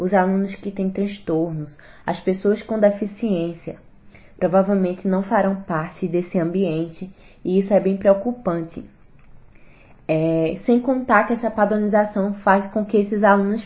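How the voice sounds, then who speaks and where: A woman speaks at a medium pitch and a moderate pace, somewhat breathy, with ordinary pitch variation. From Garanhuns, Pernambuco, Brazil. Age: 20s. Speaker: city councillor and rapper. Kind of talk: interview.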